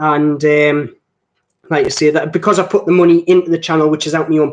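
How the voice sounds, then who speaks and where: In a strong Geordie accent, a man with a fairly high pitch talks at a very fast pace and with fairly even intonation. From northeast England, between Newcastle and Durham. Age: 20s. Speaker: watch reviewer. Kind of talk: live stream chat. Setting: live stream. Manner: sounds older than his age.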